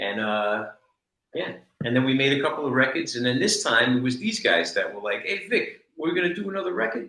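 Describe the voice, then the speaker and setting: Speaking at a fairly quick pace in a New York accent, a man with a fairly high pitch and a bright, sharp tone swings his pitch very widely. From New York, the Bronx. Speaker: reggae musician, keyboardist. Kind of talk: casual chat.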